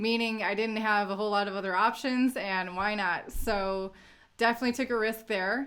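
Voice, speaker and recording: A woman with an Indiana accent, medium in pitch, bright and sharp in tone, with fairly even intonation at a fairly quick pace. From US Midwest, Northwest Indiana. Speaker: crypto YouTuber. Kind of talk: livestream Q&A. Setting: livestream.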